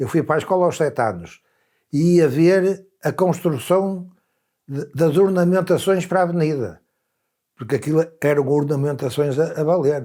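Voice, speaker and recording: Ordinary pitch variation and a dark, mellow tone come at a moderate pace in a very clean recording with a silent background. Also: man, fairly high pitch for a man. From Portugal, Viana do Castelo. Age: 80s+. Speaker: elderly interviewee. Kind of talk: documentary interview, reminiscing.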